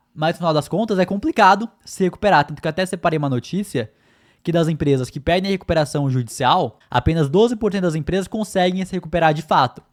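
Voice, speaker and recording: Very fast and high-pitched, a man talks with ordinary pitch variation in a very clean, silent recording with a dry, close sound and no echo. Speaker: podcast co-host. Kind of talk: casual chat.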